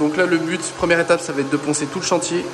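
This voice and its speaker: Over noticeable background noise, a man talks at a very fast pace in a monotone, flat way. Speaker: painter and decorator vlogger. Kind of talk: casual vlog. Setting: building site. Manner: loud.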